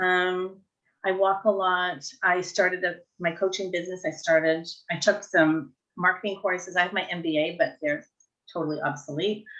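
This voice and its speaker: A woman with an ordinary speaking voice talks at a moderate pace. Her pitch is medium, with fairly even intonation. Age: 60s. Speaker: life coach. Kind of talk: casual chat. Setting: live video stream.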